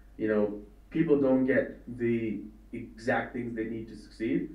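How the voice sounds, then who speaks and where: A medium-pitched male voice is heard with audible room echo. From India. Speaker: trading educator. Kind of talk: interview. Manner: hesitant, many fillers.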